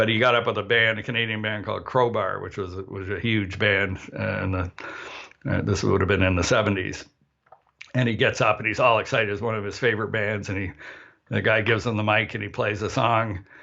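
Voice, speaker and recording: Fairly quick and monotone, a man speaks at a fairly low pitch with flat intonation. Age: 60s. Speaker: session harmonica player. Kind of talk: casual chat. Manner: halting.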